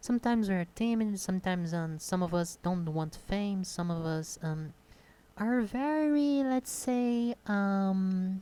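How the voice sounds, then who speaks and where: This woman's pitch is medium. Her tone sounds dark and mellow. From Brazil. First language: Portuguese. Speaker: YouTuber. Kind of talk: unscripted monologue. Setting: home desk recording. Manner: halting, with pauses; hesitant, many fillers.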